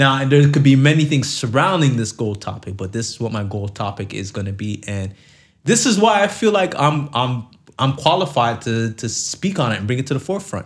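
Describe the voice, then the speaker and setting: The somewhat breathy voice moves at a fairly quick pace with very wide pitch swings, captured on a very clean recording with a silent background. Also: man, medium pitch for a man. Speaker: podcast co-host. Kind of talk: casual banter podcast chat.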